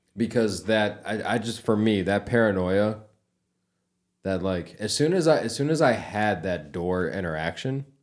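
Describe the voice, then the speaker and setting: Lively intonation at a moderate pace. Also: man, fairly low pitch for a man. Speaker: podcast co-host. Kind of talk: casual chat. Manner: halting speech, words spread out.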